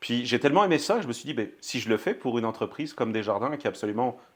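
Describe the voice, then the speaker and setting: The pace of this man's speech is fairly quick. Ordinary pitch variation runs through it. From France. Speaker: banking company executive. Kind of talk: podcast interview. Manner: hesitant, many fillers.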